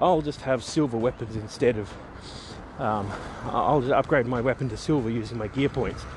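Noticeable background noise surrounds a man speaking at medium pitch. He keeps a moderate pace with ordinary pitch variation. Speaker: podcaster on tabletop roleplay game mastering. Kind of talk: solo monologue, casual rant. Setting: outdoors, walking to the bus. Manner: rambling, with fillers and restarts.

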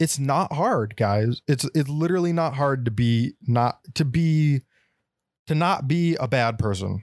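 In a plain, everyday voice, a man with an American accent speaks at a fairly slow pace with lively intonation and very even loudness. The recording is very clean, with a silent background and a dry, close sound with no echo. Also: fairly high pitch for a man. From Texas. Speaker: podcast co-host. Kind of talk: casual chat.

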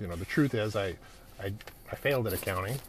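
This man has a Canadian accent. His pitch sits fairly low. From Canada (Edmonton, Alberta). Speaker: podcast host, business coach. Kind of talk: solo monologue, personal story. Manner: casual with many fillers.

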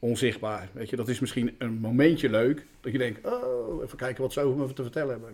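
A man speaks at a medium pitch with ordinary pitch variation. He has an unremarkable speaking voice. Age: 50s. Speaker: school caretaker. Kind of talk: casual interview.

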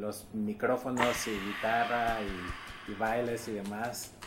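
Noticeable background noise behind a man at medium pitch and a very slow pace. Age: 40s. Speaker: podcast host. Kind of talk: interview.

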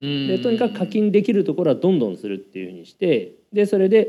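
Delivered at a very fast clip, the voice carries a dark, mellow tone. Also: man. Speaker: engineering panelist. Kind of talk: live panel talk. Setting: stage with audience.

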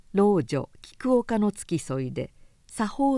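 What we hear is reading aloud in a natural voice.

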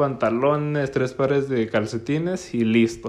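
Speaking very slowly, a man with a northern Mexican accent uses a medium pitch with ordinary variation. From northern Mexico, Gómez Palacio, Durango (La Laguna). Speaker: podcast host. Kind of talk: casual solo podcast monologue.

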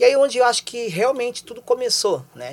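A man, at a moderate pace. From São Paulo, Brazil. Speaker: DJ and DJ instructor. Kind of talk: casual interview on a livestream.

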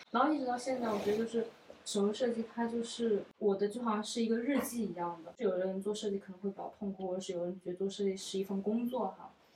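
Against noticeable background noise, a woman speaks very fast at medium pitch with fairly even intonation. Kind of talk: casual chat. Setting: at a friend's home.

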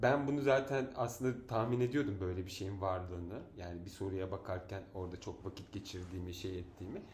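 There's audible room echo as a man speaks fairly quickly at a fairly low pitch, with ordinary pitch variation. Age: 40s. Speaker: podcast host. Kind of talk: casual chat. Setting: at home.

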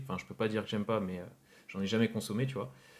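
A man speaks in an unremarkable speaking voice, fairly low in pitch with ordinary pitch variation. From France, Rennes (Brittany). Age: 20s. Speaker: entrepreneur, drink brand founder. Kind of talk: podcast interview.

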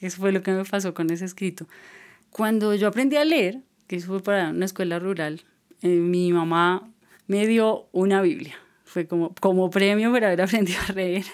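At a moderate pace, an ordinary speaking voice with ordinary pitch variation comes through on a very clean recording with a silent background. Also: woman, medium pitch for a woman. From Colombia, Boyacá. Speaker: writer and musician. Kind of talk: casual interview chat.

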